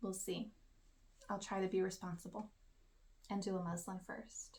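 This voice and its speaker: A soft-spoken, somewhat breathy woman talks at a moderate pace. Her medium pitch stays monotone and flat. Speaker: knitting podcaster. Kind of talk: casual craft vlog.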